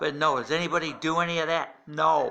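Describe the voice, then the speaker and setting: A normal speaking voice moves along at a fairly slow pace. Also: man. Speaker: political commentator. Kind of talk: rant. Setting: at home at night. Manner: angry.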